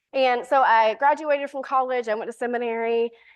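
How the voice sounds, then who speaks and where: A woman talks at a moderate pace with a Southern US accent. Her pitch is fairly high. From US South, Alabama. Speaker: priest and recovery coach. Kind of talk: talk to a church audience.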